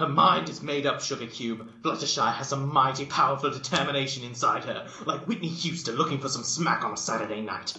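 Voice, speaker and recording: A man uses a put-on character voice, raised and projected. It sits fairly high in pitch and moves at a fairly quick pace. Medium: read story. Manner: folksy, blunt.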